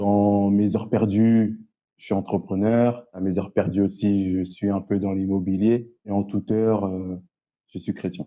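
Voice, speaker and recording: Speaking at a fairly slow pace, a man delivers his words in a monotone, flat intonation at a fairly low pitch. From Paris suburbs, France (Évry-Courcouronnes, Essonne). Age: 30s. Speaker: youth educator and entrepreneur. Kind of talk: casual interview.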